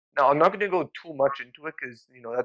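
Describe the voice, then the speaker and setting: Ordinary pitch variation in a man's fairly high-pitched voice. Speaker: tech podcast co-host. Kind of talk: casual conversational podcast discussion. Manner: halting, many fillers.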